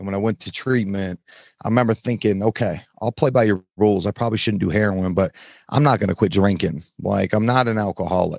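With an American accent, a man speaks at a fairly quick pace in a fairly low pitch with ordinary pitch variation, recorded very cleanly against a silent background with a dry, close sound and no echo. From US, Salt Lake City suburbs, Utah. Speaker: nutrition coaching business owner. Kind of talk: casual interview, personal testimony. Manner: animated, casual.

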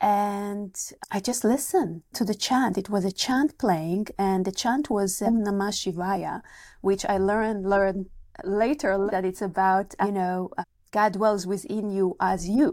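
A woman with an Israeli accent at a fairly slow pace, in a very clean recording with a silent background. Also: medium pitch for a woman, ordinary pitch variation. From Israel, kibbutz. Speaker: meditation teacher and author. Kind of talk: casual interview, personal storytelling.

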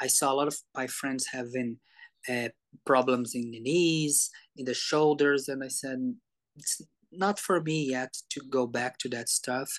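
Against a quiet background, a man with a Portuguese accent talks at a fairly slow pace, medium pitch, and fairly even intonation. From Brazil. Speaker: somatics educator. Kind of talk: interview. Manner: halting.

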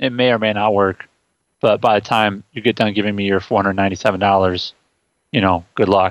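Over a quiet background, a man talks at a very fast pace in a dry, close sound with no echo. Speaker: co-host. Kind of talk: casual podcast chat. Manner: laughing, relaxed.

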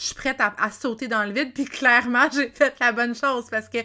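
In a very clean recording with a silent background, a bright, sharp voice in a Quebec accent moves at a moderate pace with fairly even intonation. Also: woman. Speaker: life coach and podcaster. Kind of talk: solo storytelling podcast.

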